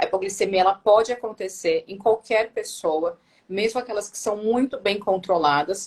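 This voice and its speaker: A woman with a medium pitch talks at a moderate pace in an unremarkable speaking voice. Her pitch varies in an ordinary way, while her loudness swings a lot. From Brazil, Santo André (São Paulo ABC region). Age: 30s. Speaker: nurse and diabetes educator. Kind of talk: live-stream interview.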